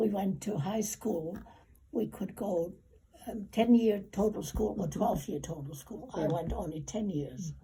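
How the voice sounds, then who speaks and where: A woman with a medium pitch and ordinary pitch variation talks at a fairly slow pace while noticeable background noise plays. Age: 80s+. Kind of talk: interview answer.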